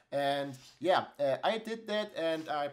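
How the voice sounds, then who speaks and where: Speaking at a very slow pace, a man with a German accent shows ordinary pitch variation. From Germany. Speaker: tech YouTuber. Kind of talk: tutorial. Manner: halting, many fillers.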